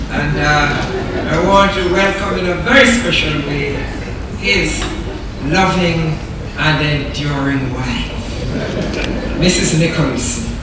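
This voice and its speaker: Over loud background noise and audible room echo, a woman speaks at a very slow pace with long, frequent pauses. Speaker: keynote speaker. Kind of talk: formal speech. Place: hall.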